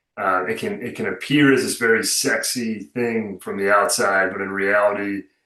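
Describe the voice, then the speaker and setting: Hardly pausing, a man with an American accent speaks at a moderate pace in a bright, sharp tone. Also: fairly low pitch for a man, fairly even intonation. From Chicago, US Midwest. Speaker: venture capital program manager. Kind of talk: webinar presentation. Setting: video call.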